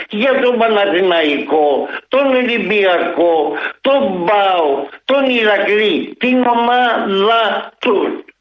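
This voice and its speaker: A high-pitched man with lively intonation, with audible room echo. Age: old. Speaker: caller. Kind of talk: phone-in call.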